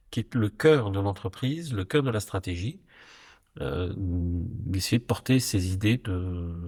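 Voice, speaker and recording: Lively intonation and a fairly low pitch shape this man's voice. His tone is dark and mellow, and somewhat breathy. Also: very clean recording, silent background. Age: 60s. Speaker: company executive and board member. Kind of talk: interview conversation. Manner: hesitant, many fillers.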